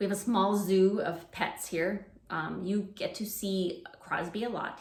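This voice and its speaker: A somewhat breathy woman speaks with ordinary pitch variation and audible room echo. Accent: Canadian. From Canada. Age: 40s. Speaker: preschool teacher and education vlogger. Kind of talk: casual unscripted chat to camera. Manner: hesitant, many fillers.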